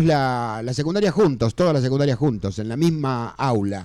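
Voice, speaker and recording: Lively intonation marks this man's delivery in an ordinary speaking voice. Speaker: rockabilly musician. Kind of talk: radio interview.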